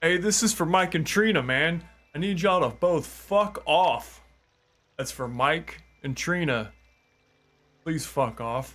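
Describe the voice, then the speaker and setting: A man shouts in a put-on character voice, high-pitched and strained, with lively intonation at a fairly slow pace. Long pauses come often, and the recording is very clean with a silent background. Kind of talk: indoor voice. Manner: restrained yell, held to indoor volume.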